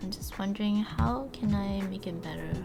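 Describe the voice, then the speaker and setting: With music in the background and audible room echo, a woman speaks at a moderate pace. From Singapore. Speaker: art streamer. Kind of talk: casual chat. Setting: live stream. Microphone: sound keeps cutting off.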